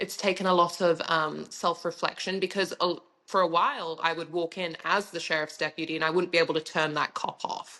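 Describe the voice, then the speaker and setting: A bright, sharp tone delivered in a flat monotone at a fairly quick pace. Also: woman. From Africa, then UK. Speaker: sheriff's deputy and pageant titleholder. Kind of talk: podcast interview.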